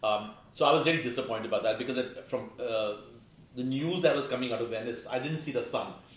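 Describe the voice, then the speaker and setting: A man talks at a very fast pace, medium in pitch with ordinary pitch variation. Noticeable background noise and audible room echo fill the recording. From India. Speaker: film critic. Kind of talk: casual chat.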